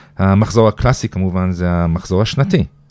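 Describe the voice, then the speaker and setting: The speaker has a slight American accent and keeps a moderate pace. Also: man. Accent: slight American accent in Hebrew. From Iran. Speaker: Iran expert and lecturer. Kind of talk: casual chat.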